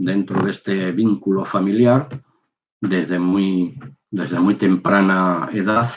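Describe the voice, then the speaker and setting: A man's fairly low-pitched voice unfolds at a very slow pace. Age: 60s. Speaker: religious video maker, former soldier. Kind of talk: testimony. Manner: halting.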